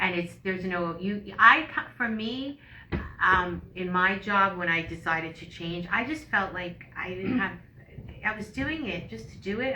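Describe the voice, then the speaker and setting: A woman with a medium pitch speaks with lively intonation. Audible room echo and noticeable background noise surround her voice. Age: 60s. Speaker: yoga instructor and podcast co-host. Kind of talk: casual chat.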